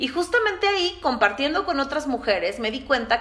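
Fairly quick speech from a woman, with noticeable background noise behind it. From Mexico City. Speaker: podcast host, entrepreneur. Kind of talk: solo podcast monologue.

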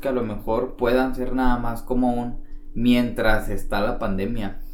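A man's lively intonation amid audible room echo. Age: 20s. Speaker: podcast co-host. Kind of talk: casual chat.

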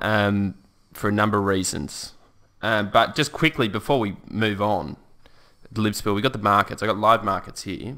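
This voice carries an Australian accent and a bright, sharp tone. It moves at a moderate pace with ordinary pitch variation. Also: man, fairly low pitch for a man, very clean recording, silent background. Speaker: podcast co-host. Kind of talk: casual political chat. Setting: studio.

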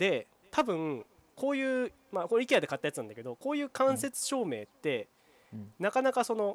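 A man's fairly quick speech with a dry, close sound and no echo. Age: 20s. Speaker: podcast co-host, camping blogger. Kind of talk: casual chat.

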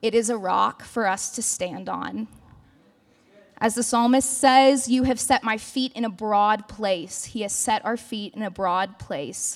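Over noticeable background noise, a woman speaks at a fairly high pitch. Her pace is fairly slow. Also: ordinary pitch variation. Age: 20s. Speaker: campus ministry speaker. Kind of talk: sermon. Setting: church service.

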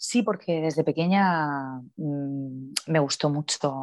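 Very deep, low pitch from a woman, over a quiet background. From Spain, Cartagena (Murcia region). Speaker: sports journalist. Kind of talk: interview. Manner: hesitant, many fillers and repetitions.

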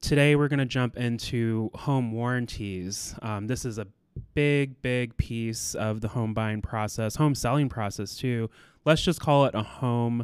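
A man with an ordinary speaking voice talks at a fairly slow pace, with a medium pitch and fairly even intonation. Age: 30s. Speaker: real estate broker. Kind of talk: podcast monologue.

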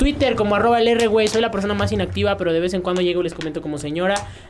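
A man talking at a very fast pace with a Mexican accent and lively intonation. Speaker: podcast co-host and battle judge. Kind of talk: casual chat.

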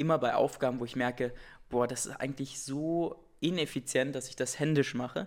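Here a man has a plain, everyday voice at a medium pitch, with fairly even intonation and a fairly quick pace. The recording is very clean, with a silent background. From Saxony-Anhalt, eastern Germany (Wittenberg). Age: 20s. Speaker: startup founder. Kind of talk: interview.

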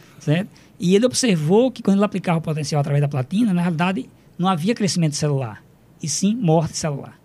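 A man talks at a very fast pace. His pitch is high and his intonation lively. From Brazil, Rio Grande do Norte (Upanema, near Mossoró). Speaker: chemistry professor. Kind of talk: radio interview. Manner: halting, many fillers.

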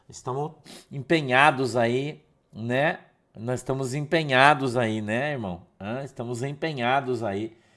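Speaking at a very slow pace with long, frequent pauses, a man shows ordinary pitch variation. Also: medium pitch for a man. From Curitiba, southern Brazil. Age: 50s. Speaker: pastor. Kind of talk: casual devotional livestream talk. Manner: halting, repeats words.

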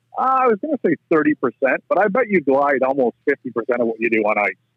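An Ontario accent at a fairly quick pace, with very wide pitch swings. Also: man. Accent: Canadian (Ontario). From southwestern Ontario, Canada. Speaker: rink builder, farmer. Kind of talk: casual interview chat.

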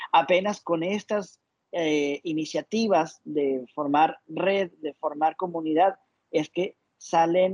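Recorded with a dry, close sound with no echo, a man has an ordinary speaking voice, a fairly high pitch, and ordinary pitch variation. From Ecuador. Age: 30s. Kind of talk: interview.

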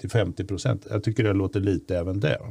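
A man's fairly low, somewhat breathy voice carries a dark, mellow tone. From Stockholm, Bromma. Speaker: podcast host. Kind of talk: casual political chat.

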